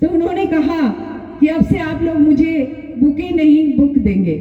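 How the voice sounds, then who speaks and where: A woman speaks with a Bengali accent amid audible room echo and music in the background. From Ranchi, Jharkhand, India. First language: Bengali (speaking Hindi). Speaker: writer and politician. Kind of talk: public speech.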